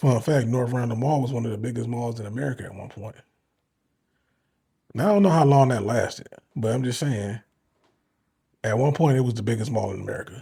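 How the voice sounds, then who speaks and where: A man with a somewhat breathy, dark, mellow tone speaks with long, frequent pauses. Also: medium pitch for a man, ordinary pitch variation, fairly quick pace. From Cleveland, Ohio. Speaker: sports YouTuber. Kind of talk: live reaction commentary. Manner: casual, conversational.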